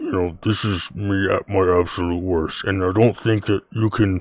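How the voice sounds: Putting on a gruff character voice, a man speaks fairly low in pitch at a moderate pace.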